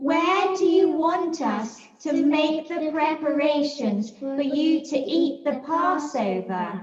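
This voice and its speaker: Here is a put-on character voice, high in pitch and very slow in pace. A clear echo surrounds it. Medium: read story.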